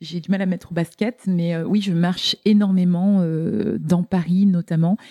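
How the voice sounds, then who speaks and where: A woman speaks at a fairly low pitch in a dark, mellow tone. Her intonation is fairly even, and the sound is dry and close with no echo. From Lorraine, France. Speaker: entrepreneur and author. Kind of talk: interview conversation.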